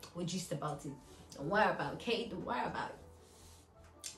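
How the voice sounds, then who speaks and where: Fairly quick speech over background music, with audible room echo. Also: woman. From Nigeria. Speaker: YouTuber. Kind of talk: casual Q&A vlog. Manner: chatty, filler-heavy.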